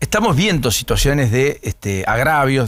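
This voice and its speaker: A man's normal speaking voice with lively intonation, on a very clean recording with a silent background. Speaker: radio host. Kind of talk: morning radio interview.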